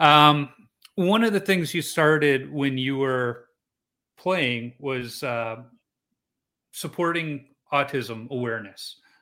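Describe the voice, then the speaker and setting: Someone with a Chicago accent speaks in a bright, sharp tone with ordinary pitch variation, in a very clean recording with a silent background. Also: man. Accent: Chicago American English. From Chicago, US Midwest. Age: 40s. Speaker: podcast host, amateur goalie. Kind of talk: casual interview chat.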